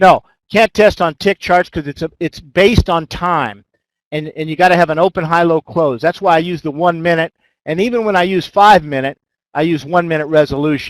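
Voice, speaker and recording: A man talks at a fairly quick pace. His pitch is high, with ordinary variation. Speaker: trading system developer. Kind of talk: webinar presentation with Q&A. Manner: fast.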